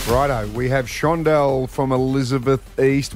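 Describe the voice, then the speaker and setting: A man is speaking. Music plays in the background. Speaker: radio host. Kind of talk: radio DJ patter hosting a contest game show. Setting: radio studio. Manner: chatty, upbeat, bantering.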